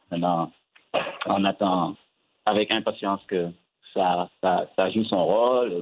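A man speaks at a fairly low pitch with fairly even intonation. His pace is very slow, with long, frequent pauses. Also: very even loudness. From Senegal, Casamance. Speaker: film director. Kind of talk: interview.

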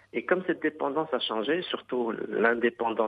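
The man has a plain, everyday voice. His pitch is medium, with ordinary pitch variation. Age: 40s. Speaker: surgeon. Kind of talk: interview.

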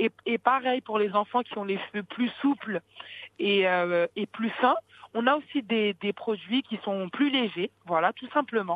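With ordinary pitch variation, a woman speaks at a fairly slow pace. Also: fairly high pitch for a woman. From France, Paris region. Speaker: beauty entrepreneur. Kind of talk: interview. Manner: halting.

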